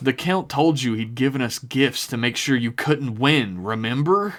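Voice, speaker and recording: A man does a put-on character voice at a medium pitch and a moderate pace. The recording is very clean, with a silent background. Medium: actual play. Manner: blustering.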